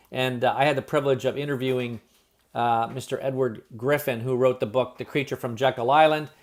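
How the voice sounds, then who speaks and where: The man's intonation stays monotone and flat. He speaks at a fairly quick pace. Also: medium pitch for a man. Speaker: business presenter. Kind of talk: sales pitch. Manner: fast.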